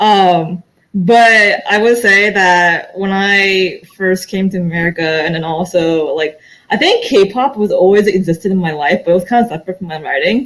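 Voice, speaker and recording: A woman with an unremarkable speaking voice talks at a moderate pace, her medium pitch showing ordinary pitch variation. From born in Korea, grew up in US. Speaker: young adult author. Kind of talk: panel discussion.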